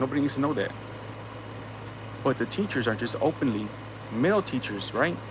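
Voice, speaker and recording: With an American accent, a man speaks fairly quickly at a medium pitch in an animated tone over noticeable background noise. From US, inner city. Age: 30s. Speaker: livestream host. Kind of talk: casual livestream monologue. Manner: animated, repetitive with false starts.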